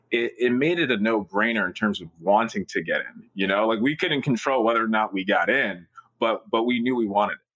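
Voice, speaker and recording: A plain, everyday voice: a man at medium pitch talks at a fairly quick pace with ordinary pitch variation. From Newark, New Jersey. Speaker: startup founder and CEO. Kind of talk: interview.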